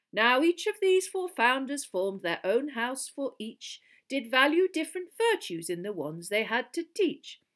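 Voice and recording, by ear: Using a put-on character voice, a woman speaks at a fairly slow pace in a high pitch with a fairly bright tone and big pitch swings.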